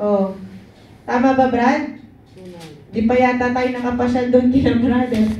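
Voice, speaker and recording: An animated woman with a Filipino accent speaks at a fairly slow pace and a high pitch, leaving long, frequent pauses amid audible room echo. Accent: Filipino English and Tagalog. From Philippines. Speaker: prayer meeting leader. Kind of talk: fervent prayer and Bible teaching to a congregation. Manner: fervent, animated, call-and-response with 'Amen'; warm, exhortative, preacher-like. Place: church.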